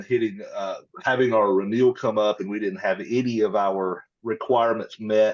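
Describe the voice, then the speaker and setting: A moderate pace in a Mississippi accent against a quiet background. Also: man. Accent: Southern US (Mississippi). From US South, rural Mississippi. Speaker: tech company partnerships lead, Air Force veteran. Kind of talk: podcast interview. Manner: casual, conversational.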